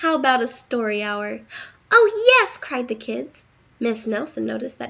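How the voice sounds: A natural reading voice. It is heard throughout.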